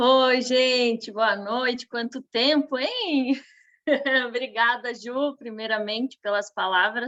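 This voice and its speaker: Her pitch is high and her intonation fairly even. This woman speaks at a very slow pace. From western Santa Catarina, Brazil. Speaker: nutritionist. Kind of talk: online business training.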